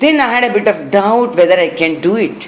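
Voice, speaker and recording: A woman's lively intonation at a moderate pace, with audible room echo and noticeable background noise. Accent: Karnataka. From India, Bangalore (Karnataka). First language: Kannada. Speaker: classical singer. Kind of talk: interview. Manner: halting.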